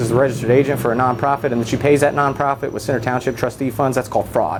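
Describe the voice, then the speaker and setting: A very fast-talking man with an American accent amid noticeable background noise. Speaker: citizen activist filming police encounters. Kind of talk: heated argument. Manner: loud; fast, interrupting.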